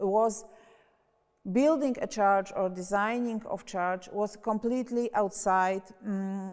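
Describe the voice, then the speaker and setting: A woman at a very slow pace, on a very clean recording with a silent background. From Poland. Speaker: architecture historian. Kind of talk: lecture. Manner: halting, many fillers.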